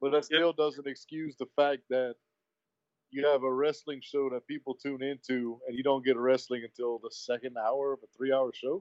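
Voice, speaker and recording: Here is a man with a plain, everyday voice at medium pitch. He speaks at a moderate pace with fairly even intonation and big swings in loudness. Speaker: wrestling podcast co-host. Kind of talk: casual chat.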